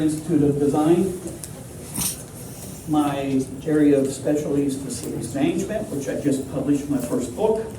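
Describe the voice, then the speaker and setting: Amid noticeable background noise and audible room echo, a man with a fairly high pitch speaks at a moderate pace, using ordinary pitch variation and long, frequent pauses. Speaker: architect and lecturer. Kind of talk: conference presentation. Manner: loud.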